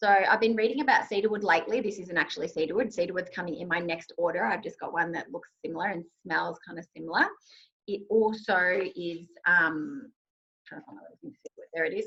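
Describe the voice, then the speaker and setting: Speaking at a very fast pace, a woman uses lively intonation at a medium pitch. Her loudness swings widely. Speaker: essential oils workshop host. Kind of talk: online workshop presentation.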